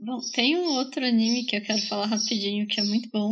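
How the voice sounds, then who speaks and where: A woman with a fairly high, somewhat breathy voice talks with ordinary pitch variation. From Brazil, Bauru (São Paulo state). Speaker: podcast co-host. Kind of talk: casual chat.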